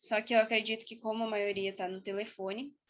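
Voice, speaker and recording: Speaking at a fairly quick pace, a woman keeps her intonation monotone and flat. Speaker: university student presenting extension project. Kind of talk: online presentation to a group. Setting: video call.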